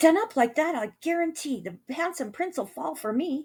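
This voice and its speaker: A woman uses a put-on character voice, pitched high and spoken at a moderate pace. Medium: read story. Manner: brisk, cheerful.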